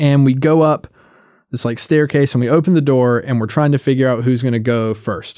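A man's plain, everyday voice at medium pitch, in an American accent, fairly quick with fairly even intonation, on a very clean recording with a silent background. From US South, North Carolina. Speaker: puppeteer and content creator. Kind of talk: casual interview chat.

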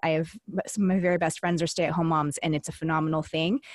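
A very fast voice with an American accent, dry and close, with no echo. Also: woman. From California. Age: 30s. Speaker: podcast co-host at a recovery center. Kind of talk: interview conversation.

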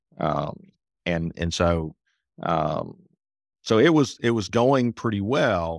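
A man with a Southern US accent and ordinary pitch variation, dry and close with no echo, on a very clean recording with a silent background. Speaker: accountant, author, speaker. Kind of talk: casual interview conversation.

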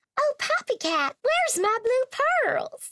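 An extremely high-pitched, put-on character voice is performed. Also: fairly slow pace. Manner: bright, joyful.

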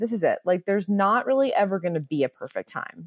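A woman's fairly high voice with lively intonation at a very fast pace, in a dry, close sound with no echo. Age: 30s. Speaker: photographer. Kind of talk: casual chat.

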